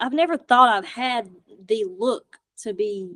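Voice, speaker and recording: A woman speaks with lively intonation. Her pitch is high. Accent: American. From rural US. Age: young. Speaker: paranormal investigator and co-host. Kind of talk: casual chat.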